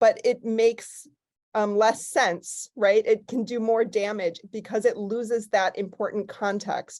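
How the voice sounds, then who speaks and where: The speaker has a Chicago accent and fairly even intonation. The pace is moderate, and the background is quiet. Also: woman. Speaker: archival scholar. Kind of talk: panel discussion. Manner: casual, many fillers.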